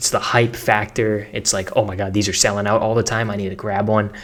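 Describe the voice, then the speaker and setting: A man with an American accent speaks at a very fast pace in an energetic tone. His pitch is fairly low, and there is noticeable background noise. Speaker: online marketing content creator. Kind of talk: tutorial. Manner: casual, energetic.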